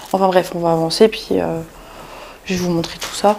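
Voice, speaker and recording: A quiet woman's voice at medium pitch, monotone with flat intonation. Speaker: urbex vlogger. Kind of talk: exploration vlog narration. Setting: inside abandoned house near road. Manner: speaking quietly; hesitant, many fillers.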